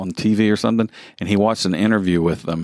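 On a very clean recording with a silent background and a dry, close sound with no echo, a man speaks with a Southern US accent and ordinary pitch variation. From US South. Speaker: podcast co-host. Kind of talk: casual chat.

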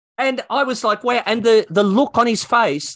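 A man with an Australian accent talks at a fairly slow pace over a quiet background. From Australia, New South Wales. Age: 60s. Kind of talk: interview. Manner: talkative.

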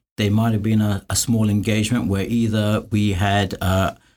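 A somewhat breathy man in a London accent, fairly low in pitch, at a moderate pace, in a very clean recording with a silent background. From London, England. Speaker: construction cost consultant. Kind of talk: interview.

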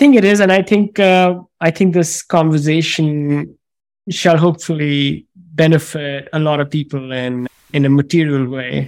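This man has a normal speaking voice with a fairly high pitch. He keeps a moderate pace and ordinary pitch variation. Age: 40s. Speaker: podcast host.

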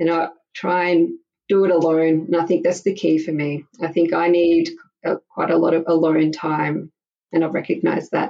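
In an Australian accent, a woman with a fairly low voice talks at a moderate pace in a monotone, flat intonation. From Australia, Melbourne. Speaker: mother sharing her story. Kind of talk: interview testimony. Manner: halting.

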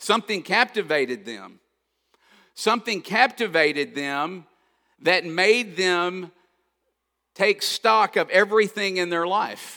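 In a very clean recording with a silent background, a man with a high pitch and a bright, sharp tone uses a raised, projected voice, ordinary pitch variation, and long, frequent pauses. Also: fairly slow pace. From Kentucky. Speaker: pastor. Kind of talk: sermon. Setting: church.

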